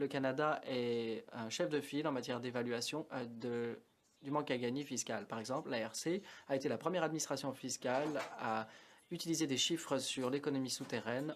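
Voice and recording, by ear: A man talks at a moderate pace and medium pitch with ordinary pitch variation.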